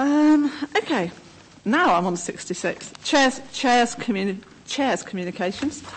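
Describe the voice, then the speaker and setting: Her pitch high and swinging very widely, a woman speaks at a very slow pace. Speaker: committee chair. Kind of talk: formal council meeting. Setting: council chamber meeting. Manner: formal, procedural. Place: meeting room. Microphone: podium.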